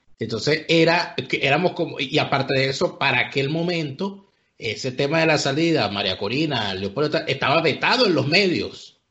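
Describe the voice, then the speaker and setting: A man with a normal speaking voice, fairly high-pitched, at a moderate pace with ordinary pitch variation. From Venezuela, Vargas. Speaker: political commentator. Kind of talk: casual chat.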